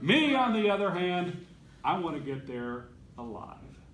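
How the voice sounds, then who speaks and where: Over noticeable background noise and audible room echo, a man speaks at a high pitch with very wide pitch swings. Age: 60s. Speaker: Toastmasters club speaker. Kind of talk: prepared speech.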